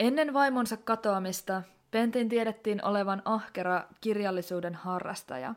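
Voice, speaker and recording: An unremarkable speaking voice moves with ordinary pitch variation. The recording is very clean, with a silent background. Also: woman, medium pitch for a woman. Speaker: podcast host. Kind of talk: true-crime narration, scripted-sounding. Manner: serious, measured; somber, grave tone, deliberate pace.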